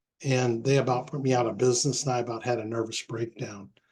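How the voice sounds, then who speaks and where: A somewhat breathy man talks at a fairly quick pace in a monotone, flat intonation. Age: 70s. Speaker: real estate investor. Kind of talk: casual talk to a meeting. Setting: recorded group meeting. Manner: halting, many fillers.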